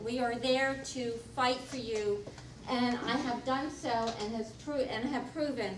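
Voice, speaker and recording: Over noticeable background noise and audible room echo, a woman with a high pitch speaks fairly slowly in a flat, monotone way. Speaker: political candidate, incumbent insurance commissioner. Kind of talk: candidate forum speech. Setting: public forum with audience.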